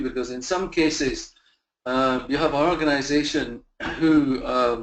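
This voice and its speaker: A man with a Scottish accent, amid audible room echo. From Scotland. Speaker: facilities management consultant. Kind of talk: webinar presentation. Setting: online virtual conference. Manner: halting, many fillers and repeats.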